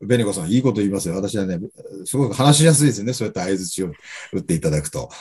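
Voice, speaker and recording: A man speaks very fast in a dark, mellow, somewhat breathy tone. His pitch swings very widely. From Japan, Sendai (Miyagi). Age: 50s. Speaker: business coach and company founder. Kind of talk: interview talk. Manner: hesitant filler-heavy.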